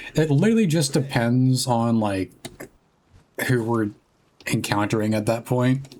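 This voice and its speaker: A soft-spoken man talks fairly slowly with long, frequent pauses. His medium-pitched voice has ordinary pitch variation and very even loudness. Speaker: streamer. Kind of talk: casual gaming stream chat.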